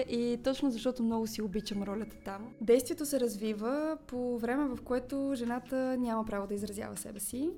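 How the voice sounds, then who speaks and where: The speech runs at a fairly quick pace with ordinary pitch variation over noticeable background noise. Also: woman. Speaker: actress. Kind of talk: interview.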